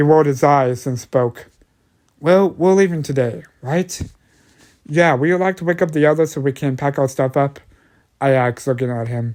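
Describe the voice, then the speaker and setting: At a moderate pace with long, frequent pauses, a man speaks at a fairly high pitch with ordinary pitch variation. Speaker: amateur story narrator. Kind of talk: horror story narration.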